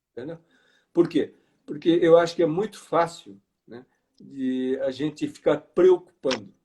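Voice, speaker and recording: The speech comes at a fairly slow pace with long, frequent pauses, big swings in loudness, ordinary pitch variation and a dark, mellow tone. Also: man, fairly high pitch for a man. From Brazil, interior of Paraná. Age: 60s. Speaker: financial education speaker. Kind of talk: live online interview. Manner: halting.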